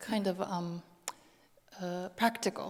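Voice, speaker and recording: A woman with a non-native accent talks at a medium pitch and a fairly slow pace. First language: not English. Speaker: lecturer. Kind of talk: Q&A panel answer. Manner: halting.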